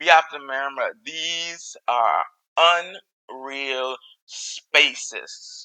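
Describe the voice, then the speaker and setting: A man with a Caribbean accent, speaking at a very slow pace. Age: middle-aged. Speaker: podcast host. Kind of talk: solo podcast commentary. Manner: halting, many fillers and repetitions.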